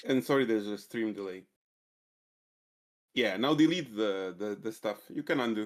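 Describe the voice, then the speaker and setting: In a Balkan accent, a man speaks at a moderate pace with a fairly low pitch and ordinary pitch variation. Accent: Southeast Balkan. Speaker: programming mentor. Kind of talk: coding tutorial. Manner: hesitant, many fillers.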